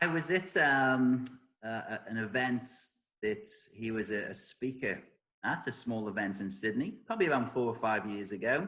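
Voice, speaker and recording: With an English accent, a man speaks at a moderate pace and a medium pitch. His tone is bright and sharp, and his intonation lively. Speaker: career coach. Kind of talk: interview answers.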